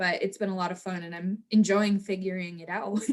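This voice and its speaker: At a moderate pace, a woman speaks in a plain, everyday voice with medium pitch and fairly even intonation. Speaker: sports team host and reporter. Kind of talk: interview.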